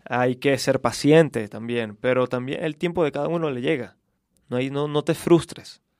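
This man has a normal speaking voice, pitched fairly high. His pitch moves in an ordinary way, and the sound is dry and close with no echo. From Venezuela, Caracas. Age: 20s. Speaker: actor. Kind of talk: casual chat.

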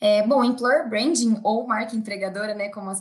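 A woman's fairly high-pitched, unremarkable speaking voice at a moderate pace. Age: 20s. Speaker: employer branding analyst. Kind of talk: interview.

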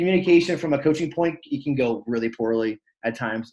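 A man with an American accent speaks at a fairly high pitch. His intonation is lively. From Pennsylvania, Lancaster area. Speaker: podcast co-host, goalkeeper coach. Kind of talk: casual chat.

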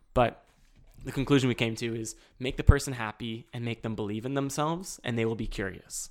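In a very clean recording with a silent background, a man with a medium pitch and ordinary pitch variation speaks fairly quickly in an animated tone, his loudness swinging widely. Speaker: parkour athlete and aspiring actor. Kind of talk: casual chat.

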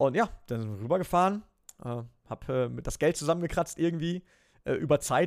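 A man with an unremarkable speaking voice at a fairly quick pace, ordinary pitch variation, on a very clean recording with a silent background. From western Germany near the Dutch border. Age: 30s. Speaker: esports presenter and racing team owner. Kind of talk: interview.

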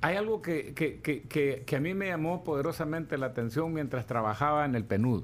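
Speaking at a moderate pace, a man has a fairly high pitch and a plain, everyday voice. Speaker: economist. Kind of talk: interview. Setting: studio.

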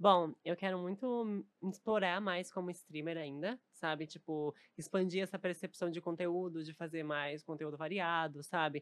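A woman with a plain, everyday voice speaks at a fairly slow pace in a fairly low pitch with ordinary pitch variation. The sound is dry and close with no echo. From southern Brazil, Novo Hamburgo (Rio Grande do Sul). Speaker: streamer and content creator. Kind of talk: casual chat.

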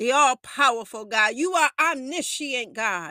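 In a very clean recording with a silent background and a dry, close sound with no echo, a raised, projected voice with a bright, sharp tone and an intense, solemn tone moves at a fairly slow pace with lively intonation. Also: woman. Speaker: prayer podcast host. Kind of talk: fervent intercessory prayer, addressed to God, with a worshipful, pleading tone; sermon-like podcast talk mixed with scripture reading. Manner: intense, impassioned and urgent, with a solemn, commanding delivery.

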